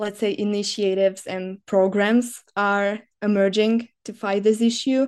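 A woman with a Slovak accent speaks at a fairly slow pace in a medium pitch, her intonation monotone and flat. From Slovakia. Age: 20s. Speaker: student and disinformation NGO worker. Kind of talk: podcast interview. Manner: hesitant, many filler sounds.

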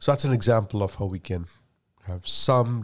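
On a very clean recording with a silent background, a man talks at a fairly quick pace in a Keralan accent. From India. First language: Malayalam. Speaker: tech executive. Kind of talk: casual interview.

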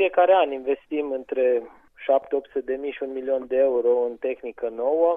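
He has an ordinary speaking voice. This man's pitch sits in the middle range. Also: ordinary pitch variation, moderate pace. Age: 30s. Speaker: farmer. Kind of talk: interview.

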